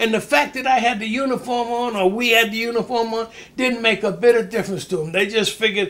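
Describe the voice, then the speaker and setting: Noticeable background noise surrounds the voice. A man with a high pitch talks at a moderate pace. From Maine. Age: 80s+. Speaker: retired boxer. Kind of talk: interview. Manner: halting.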